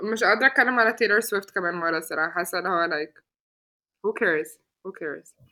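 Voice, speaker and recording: A woman's very fast speech at medium pitch, bright and sharp in tone, with ordinary pitch variation and an Arabic accent. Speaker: podcast host. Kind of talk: casual chat, code-switching Arabic and English.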